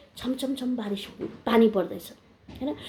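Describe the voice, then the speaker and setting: A woman is speaking. Her tone is dark and mellow. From India, Darjeeling hills (Indian Gorkha). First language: Nepali (speaking Hindi). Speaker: video blogger. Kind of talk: informal talk to camera.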